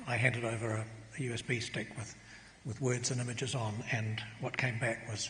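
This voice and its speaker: A man in a New Zealand accent at a very fast pace, monotone and flat in intonation, with audible room echo. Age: 70s. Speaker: botanist and author. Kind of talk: acceptance speech. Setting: stage with audience.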